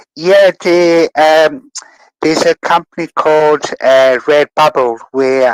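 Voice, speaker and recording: A man at a very slow pace, dry and close with no echo, and ordinary pitch variation. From South Africa. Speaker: digital artist. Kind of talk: interview. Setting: online audio room. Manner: halting.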